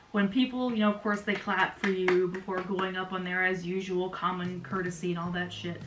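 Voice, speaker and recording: Words come at a fairly quick clip with hardly any pauses, in a monotone, flat intonation. Noticeable background noise and audible room echo sit behind the voice. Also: woman, medium pitch for a woman. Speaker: YouTuber recounting amateur stand-up comedy. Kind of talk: casual vlog storytelling. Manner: fast.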